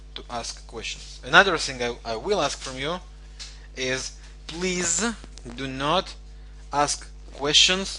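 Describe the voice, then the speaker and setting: A man with a non-native accent at a very slow pace, with audible room echo. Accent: foreign accent in English. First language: not English. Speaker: forex trading coach. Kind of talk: online lecture. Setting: live online webinar. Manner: hesitant, many fillers.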